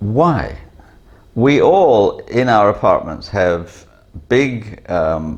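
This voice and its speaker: The man's voice is somewhat breathy, and his intonation is lively. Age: 60s. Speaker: vlogger. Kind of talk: casual monologue; cooking tutorial. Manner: hesitant, many fillers.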